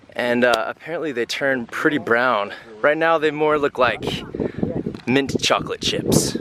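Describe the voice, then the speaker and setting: A man's fairly high voice, fairly slow pace and ordinary pitch variation over noticeable background noise. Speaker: travel vlogger. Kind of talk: travel vlog narration.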